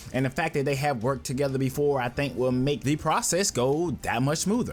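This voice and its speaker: Over music in the background, a man with an American accent speaks at a fairly quick pace. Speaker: sports YouTuber. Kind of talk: casual commentary.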